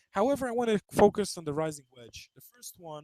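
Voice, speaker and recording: A man with a non-native accent speaks at a moderate pace, his pitch high and his intonation lively. The sound is dry and close, with no echo. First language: not English. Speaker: trading webinar presenter. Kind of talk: webinar lecture. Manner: halting, many fillers and restarts.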